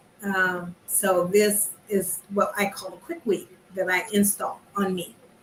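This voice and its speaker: A woman speaks with an American accent at medium pitch. Her delivery is very slow and monotone, with flat intonation and noticeable background noise. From California. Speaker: artist in online circle. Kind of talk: casual chat.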